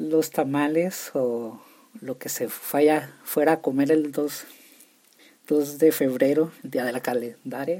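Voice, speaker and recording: With a northern Mexican accent, a man speaks at a very slow pace in a fairly high pitch. His tone is dark and mellow, and his intonation fairly even. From Mexico, Chihuahua. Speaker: podcast host. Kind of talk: casual solo podcast monologue. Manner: halting, many repetitions.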